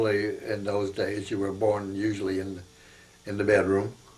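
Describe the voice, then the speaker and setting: In an American accent, a man speaks at a moderate pace with a fairly low pitch and a monotone, flat intonation. His voice is somewhat breathy, and the room echo is audible. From northeast Pennsylvania. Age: 80s+. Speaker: war veteran. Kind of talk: oral history interview. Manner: halting, many fillers.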